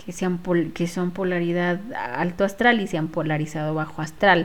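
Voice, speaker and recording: This woman's pitch is medium, with ordinary variation. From Ecuador, Quito. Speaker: spiritual healer. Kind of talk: casual monologue. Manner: hesitant, with fillers.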